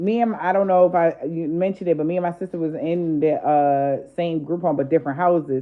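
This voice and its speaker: Animated in tone, a woman talks at a fairly quick pace. Her pitch is fairly low with ordinary variation. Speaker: spiritual content creator. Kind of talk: casual storytelling.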